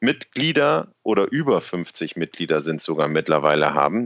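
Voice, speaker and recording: Over a quiet background, a man speaks at a moderate pace with vocal fry and very wide pitch swings, the sound dry and close with no echo. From Worpswede area, northern Germany. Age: 40s. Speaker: local party spokesperson. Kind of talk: casual interview.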